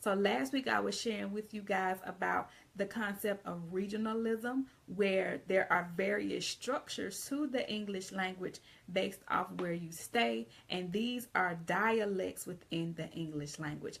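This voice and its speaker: A woman with a Southern US accent speaks at a fairly slow pace and a medium pitch, her tone animated and her intonation lively. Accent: Southern drawl. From US South, Georgia. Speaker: English teacher and writing consultant. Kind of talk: live video lesson. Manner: casual, animated.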